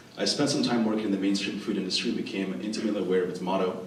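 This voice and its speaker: Over noticeable background noise and audible room echo, a man with a fairly low voice talks at a very fast pace. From Venezuela (Caracas), moved to US at nine. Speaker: Chinese medicine student, panelist. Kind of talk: prepared opening statement at a panel. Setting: event stage with audience, microphone. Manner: formal.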